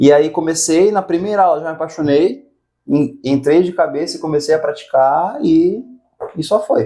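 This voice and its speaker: A man speaks at a moderate pace with a dark, mellow tone and a fairly high pitch. His pitch varies in an ordinary way. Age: 20s. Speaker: Muay Thai instructor. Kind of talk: casual interview chat.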